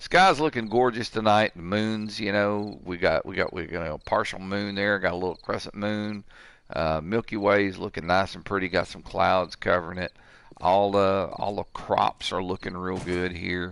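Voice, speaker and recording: In a normal speaking voice, a man talks at a moderate pace with a fairly low pitch, fairly even intonation and big swings in loudness over a quiet background. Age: 60s. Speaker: gaming streamer. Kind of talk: live gameplay commentary. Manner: casual, rambling with fillers.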